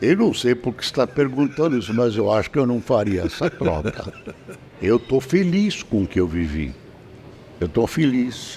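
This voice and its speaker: A man speaks at a medium pitch that swings very widely. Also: moderate pace. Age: 80s+. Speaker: veteran journalist. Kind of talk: interview.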